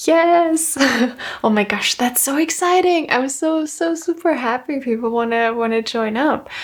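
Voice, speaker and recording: Soft-spoken delivery at a very slow pace. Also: woman. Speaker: game master explaining character creation. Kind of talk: ASMR roleplay.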